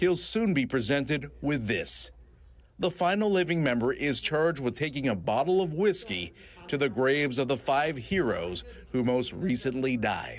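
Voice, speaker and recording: Vocal fry marks this man's fairly high-pitched voice, which swings very widely in pitch. He keeps a moderate pace and a very even loudness. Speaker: TV news reporter. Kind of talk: TV news report narration.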